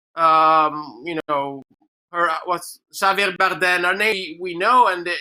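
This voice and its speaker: A man with an Italian accent, high pitch and a bright, sharp tone, at a very slow pace with ordinary pitch variation, in a very clean recording with a silent background. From Italy. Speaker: filmmaker. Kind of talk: panel discussion. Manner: halting.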